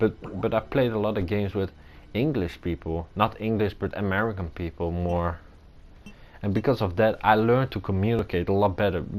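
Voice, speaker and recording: Talking at a fairly quick pace, a man with a non-native accent uses a fairly low pitch and ordinary pitch variation. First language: not English. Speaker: gamer playing a video game. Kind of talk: gameplay commentary. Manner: halting.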